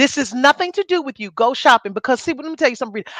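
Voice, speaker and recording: A woman's high, bright and sharp voice, animated in tone with lively intonation, in a dry, close sound with no echo and a quiet background. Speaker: podcast co-host. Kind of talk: casual chat. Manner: loud.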